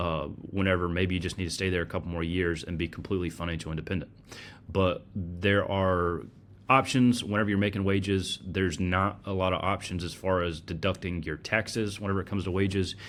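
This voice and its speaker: Using a very deep, low voice, a man with a Southern US accent talks at a fairly quick pace. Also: fairly even intonation. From US South, North Carolina. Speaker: personal finance podcast host. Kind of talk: solo podcast presentation with slides. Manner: casual, conversational with fillers.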